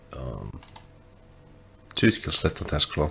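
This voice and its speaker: Whispering quietly at a very slow pace, a man speaks over noticeable background noise. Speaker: gaming streamer. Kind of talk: casual gameplay commentary. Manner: whispery, quiet.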